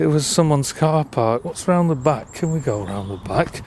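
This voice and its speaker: A man with a Lancashire accent and a fairly high pitch speaks at a moderate pace with lively intonation. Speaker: urban explorer vlogger. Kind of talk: vlog narration.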